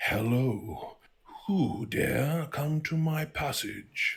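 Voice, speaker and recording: Using a put-on character voice, a man talks very slowly at a fairly high pitch. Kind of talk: refined, lawful evil. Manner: slow, elegant, poised, reserved.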